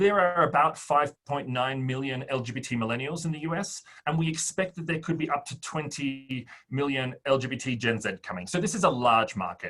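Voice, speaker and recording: A man with an Australian accent, fairly high-pitched, bright and sharp in tone, talking at a fairly quick clip with ordinary pitch variation. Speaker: fintech startup founder. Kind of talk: interview.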